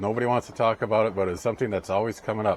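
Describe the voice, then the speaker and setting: Talking at a very fast pace, a man keeps a fairly low pitch and fairly even intonation. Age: 60s. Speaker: ham radio and RV vlogger. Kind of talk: casual monologue giving life advice. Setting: indoors, rain on the roof. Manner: halting, many fillers.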